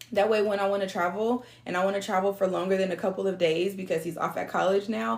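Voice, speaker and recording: A woman speaks with an American accent in a normal speaking voice. Her medium pitch has ordinary variation. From San Diego, California. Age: 30s. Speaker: online business coach. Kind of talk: motivational talk.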